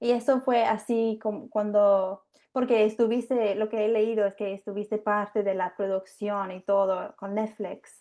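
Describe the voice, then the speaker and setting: A woman speaks fairly slowly in a fairly high, dark, mellow voice with flat, monotone intonation and hardly any pauses. The background is quiet. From England. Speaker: family lawyer and podcast host. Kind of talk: interview. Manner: halting.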